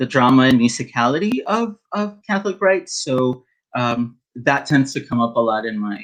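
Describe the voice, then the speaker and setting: A man with a medium pitch talks at a fairly slow pace with very wide pitch swings. The background is quiet. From rural Mexico. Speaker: poet. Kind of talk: casual introduction to a reading; poetry reading. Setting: virtual reading event. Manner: halting.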